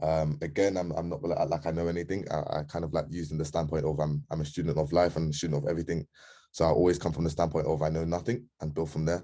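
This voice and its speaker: Against a quiet background, a man with a London accent, a very deep, low pitch and a dark, mellow tone speaks at a very fast pace with fairly even intonation. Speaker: community member. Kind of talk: casual group call. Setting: video call, camera off. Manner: hesitant, many ums.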